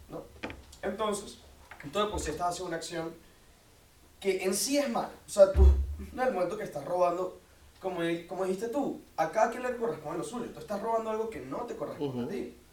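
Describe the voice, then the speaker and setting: Over noticeable background noise and audible room echo, a man with a high pitch talks very fast with lively intonation, big swings in loudness, and long, frequent pauses. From Venezuela, Caracas. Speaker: university student, debater. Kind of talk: debate.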